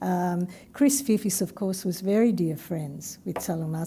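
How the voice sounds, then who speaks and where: A woman's somewhat breathy voice has a dark, mellow tone and a moderate pace. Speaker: academic presenter. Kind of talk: q&a discussion after seminar.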